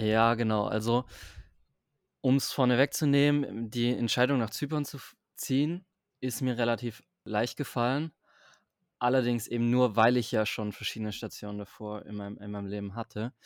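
Moderate pace with long, frequent pauses, in a very clean recording against a silent background. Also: man, medium pitch for a man. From southern Germany, Stuttgart area. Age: 20s. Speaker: digital nomad. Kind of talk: casual interview. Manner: halting.

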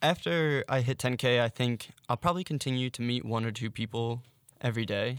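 Speaking in a normal speaking voice with an American accent, a man moves at a fairly quick pace with ordinary pitch variation, in a dry, close sound with no echo on a very clean recording with a silent background. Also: medium pitch for a man. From Philadelphia suburbs, US. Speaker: Instagram storyteller. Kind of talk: interview.

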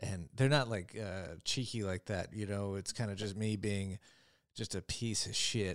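A man with an unremarkable speaking voice talks at a fairly low pitch with fairly even intonation on a very clean recording with a silent background. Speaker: stand-up comedian. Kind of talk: casual chat.

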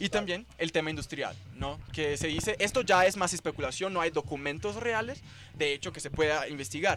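At a moderate pace, a man with a Portuguese accent speaks at a fairly high pitch in a bright, sharp tone with vocal fry and lively intonation. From Brazil, São Paulo. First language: Portuguese (speaking Spanish). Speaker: cannabis economy researcher. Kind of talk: casual chat. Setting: at a festival event.

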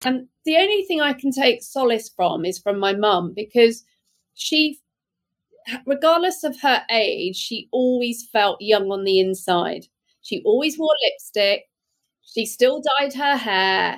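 The speaker has a British accent and talks at a fairly slow pace. The pitch swings very widely. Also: woman, high pitch for a woman. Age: 50s. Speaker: beauty brand founder and entrepreneur. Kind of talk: interview. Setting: video call.

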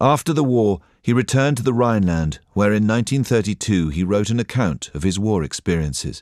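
Using a plain, everyday voice, a man talks at a fairly quick pace with hardly any pauses, his fairly low pitch carried by lively intonation. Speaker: documentary narrator. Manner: measured, solemn, formal; steady, even pacing.

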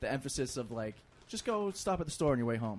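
A man with a Boston accent talks at a very fast pace, his medium-pitched voice carrying lively intonation. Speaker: comedian. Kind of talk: casual chat.

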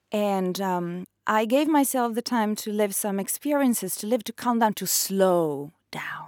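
A woman at a fairly high pitch, fairly slow yet with hardly any pauses, lively in intonation, on a very clean recording with a silent background. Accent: Italian. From northeast Italy, near Trieste. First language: Italian. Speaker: author. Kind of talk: interview.

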